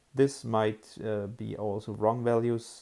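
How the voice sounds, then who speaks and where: A man's medium-pitched voice, dark and mellow, with a German accent and monotone, flat intonation, on a very clean recording with a silent background. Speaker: app developer. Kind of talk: tutorial. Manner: hesitant, many fillers.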